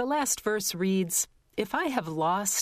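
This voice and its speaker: At a very slow pace, a woman with a medium-pitched voice speaks in a warm, calm tone with lively intonation. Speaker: radio host. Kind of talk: radio announcer presenting a classical music program, scripted and informative. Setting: studio. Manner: measured, formal, calm and polished; clear, even-paced, with a warm educational tone.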